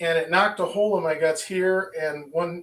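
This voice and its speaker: A man speaks in a high voice with an American accent. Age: 60s. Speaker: qigong teacher. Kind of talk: lecture. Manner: halting.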